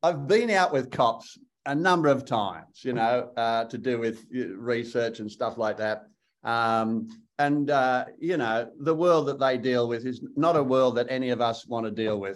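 Speaking fairly slowly in an Australian accent, a man uses medium pitch with ordinary pitch variation. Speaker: actor. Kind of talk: interview. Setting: video call.

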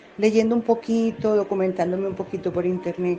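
The woman's medium-pitched voice holds a monotone, flat intonation. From Colombia, Medellín. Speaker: real estate agent and social media writer. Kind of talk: interview. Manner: calm.

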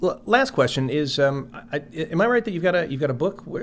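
Speaking in a Chicago accent, a man keeps up a fairly quick pace. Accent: Chicago-area American. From US Midwest, Chicago area. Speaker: podcast host. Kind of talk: interview.

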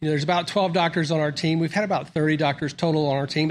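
A man's monotone, flat delivery in a Southern US accent, fairly high pitched for a man, against a quiet background. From US South, Mississippi. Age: 50s. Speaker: doctor. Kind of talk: interview. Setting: studio.

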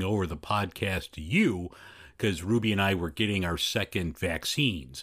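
A man with a Chicago accent at a moderate pace and ordinary pitch variation, very cleanly recorded over a silent background. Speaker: podcast host. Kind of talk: casual chat.

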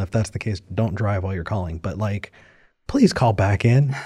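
On a very clean recording with a silent background, a man talks in a dark, mellow, somewhat breathy tone with lively intonation. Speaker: call-in show co-host. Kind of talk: casual chat.

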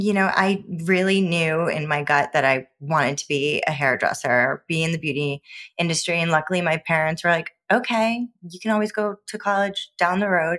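A woman speaks in a normal speaking voice, fairly low in pitch, with ordinary pitch variation at a moderate pace. The sound is dry and close with no echo. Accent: American. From Newport, Rhode Island, US. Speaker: hair colorist. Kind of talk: interview.

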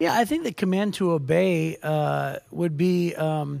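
A high-pitched man with an American accent at a fairly slow pace, in a very clean recording with a silent background. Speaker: podcast host and pastor. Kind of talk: casual devotional chat about Bible. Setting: studio.

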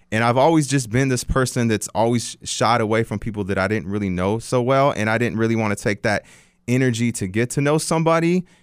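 A man with a medium pitch talks very fast, his pitch varying in an ordinary way. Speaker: podcast co-host, radio host. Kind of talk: casual chat.

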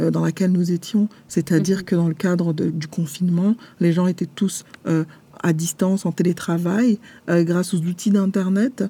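Her voice is somewhat breathy, with a fairly low pitch, a dark, mellow tone and fairly even intonation, as the woman speaks at a fairly slow pace. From France, Paris. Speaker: publisher and author. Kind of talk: interview. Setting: remote recording. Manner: halting, with frequent hesitations.

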